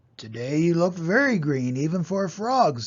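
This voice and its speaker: A man's put-on character voice, high-pitched and at a moderate pace. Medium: read story.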